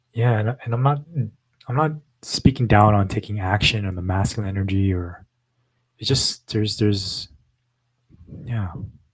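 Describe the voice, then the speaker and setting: On a very clean recording with a silent background, a man with a fairly low pitch sounds somewhat breathy, his pitch moving in an ordinary way between long, frequent pauses. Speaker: podcast co-host. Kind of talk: casual chat. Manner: fast when excited.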